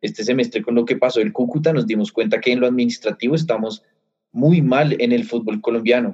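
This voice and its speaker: With an unremarkable speaking voice, a man talks at a medium pitch and a fairly quick pace with ordinary pitch variation. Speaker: sports podcast co-host. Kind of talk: casual chat.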